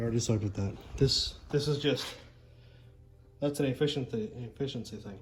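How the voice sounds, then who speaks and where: A man speaks at a fairly quick pace in a medium pitch, his voice somewhat breathy. His pitch varies in an ordinary way, broken by long, frequent pauses. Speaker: car builder and video host. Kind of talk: casual workshop vlog. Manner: stuttering, repeats words; casual, animated.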